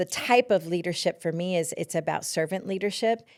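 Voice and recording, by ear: A woman speaks fairly quickly in a fairly low voice with a slightly mellow tone. Her pitch varies in an ordinary way, and the recording is very clean with a silent background.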